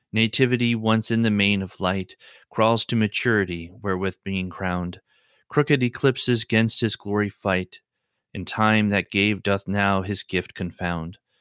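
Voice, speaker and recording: A man's fairly low voice at a moderate pace, with fairly even intonation, in a very clean recording with a silent background and a dry, close sound with no echo. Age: 30s. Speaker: poetry podcast host. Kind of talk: reading poetry aloud. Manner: halting with fillers in unscripted talk.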